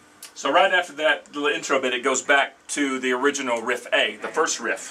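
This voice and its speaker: This man talks at a fairly quick pace with a fairly high pitch and fairly even intonation. Noticeable background noise sits behind him. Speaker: guitar teacher. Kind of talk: tutorial. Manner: fast.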